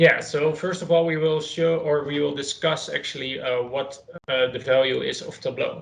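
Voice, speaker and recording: A man with a somewhat breathy, fairly high voice, fairly even intonation and a moderate pace. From Netherlands, Leiden. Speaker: data consultant and trainer. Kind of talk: online training session.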